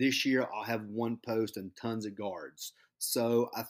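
Very clean recording, silent background, with a man speaking at medium pitch. His is an unremarkable speaking voice with ordinary pitch variation. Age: 40s. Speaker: high school basketball coach. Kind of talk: interview.

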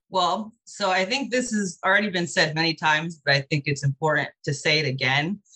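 A woman with an American accent and a bright, sharp tone at a fairly quick pace, in a dry, close sound with no echo. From US West Coast, Los Angeles. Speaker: animal shelter kennel manager. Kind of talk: interview.

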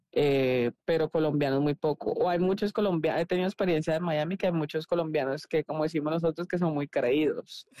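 The voice has a dark, mellow tone and fairly even intonation, moving at a fairly quick pace with very even loudness, hardly any pauses and a dry, close sound with no echo. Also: woman, very deep, low pitch for a woman. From Colombia, Cali. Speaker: former volleyball player. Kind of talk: casual chat.

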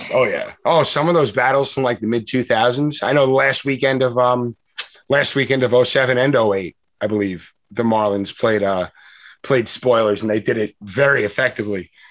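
In a very clean recording with a silent background, a man with a plain, everyday voice speaks at a medium pitch and moderate pace with ordinary pitch variation. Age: 30s. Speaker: sports podcast host. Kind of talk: casual chat.

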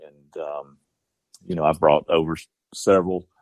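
Here a man talks with a Georgia accent. He keeps a moderate pace and fairly even intonation. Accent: southern US (Georgia). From southwest Georgia, US South. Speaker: bird dog breeder and upland hunter. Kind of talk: casual interview. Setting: phone call. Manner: halting, many fillers.

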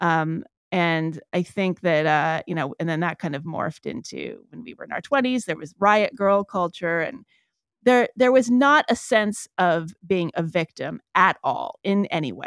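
On a very clean recording with a silent background and a dry, close sound with no echo, a woman uses a normal speaking voice, fairly low in pitch, with lively intonation at a fairly slow pace. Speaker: author and podcast host. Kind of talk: casual interview conversation.

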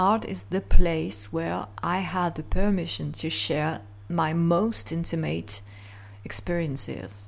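A woman at a very slow pace with big swings in loudness. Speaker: podcast host and artist. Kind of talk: solo reflective monologue. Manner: halting, many fillers.

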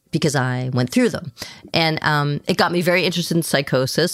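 In a plain, everyday voice with an American accent, the speaker goes at a fairly quick pace with ordinary pitch variation. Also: woman. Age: 50s. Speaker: psychiatrist and author. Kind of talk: interview.

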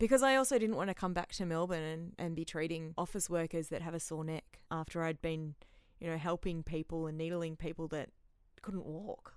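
A woman with an Australian accent, fairly low in pitch, at a fairly quick pace with ordinary pitch variation. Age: 30s. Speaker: therapist and aid worker. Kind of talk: casual interview chat. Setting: warehouse with tin roof.

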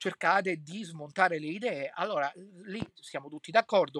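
The man's voice sounds dry and close, without any echo. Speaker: podcaster and political commentator. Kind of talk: solo commentary monologue. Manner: hesitant, many filler sounds.

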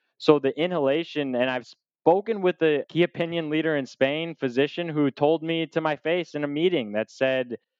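A man's ordinary speaking voice with an American accent, at a moderate pace and with ordinary pitch variation. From Michigan, US. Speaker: cannabis industry advisor. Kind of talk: casual interview conversation.

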